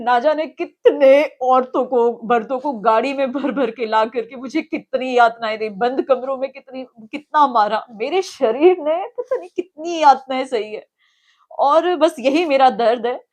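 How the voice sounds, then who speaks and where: The speech has ordinary pitch variation and hardly any pauses. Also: woman, high pitch for a woman. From Himachal Pradesh, Shimla. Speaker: alleged abuse victim. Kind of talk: interview testimony. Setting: outside party headquarters.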